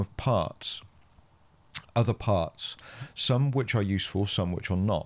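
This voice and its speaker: A man with a Gloucestershire accent at a moderate pace, on a very clean recording with a silent background. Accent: West Country English, Gloucestershire. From Gloucestershire, England. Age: 40s. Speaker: podcast host and counsellor. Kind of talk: casual interview chat.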